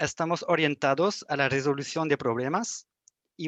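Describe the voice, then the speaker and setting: The man speaks in a French accent at a moderate pace. The sound is dry and close, with no echo. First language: French (speaking Spanish). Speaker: young engineers association officer. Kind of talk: prepared presentation. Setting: video call.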